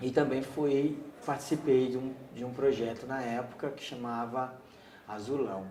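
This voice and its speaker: There is noticeable background noise and audible room echo. A man talks at a medium pitch. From Brazil, São Paulo (Heliópolis, grew up there from age 7). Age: 30s. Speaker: community resident interviewee. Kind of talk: oral history interview. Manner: halting, with repetitions.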